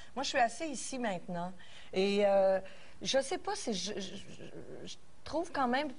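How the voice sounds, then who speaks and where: Audible room echo surrounds a woman with a fairly high pitch who speaks at a fairly slow pace, swinging her pitch very widely and leaving long, frequent pauses. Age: 50s. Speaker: talk show panelist. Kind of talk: casual chat.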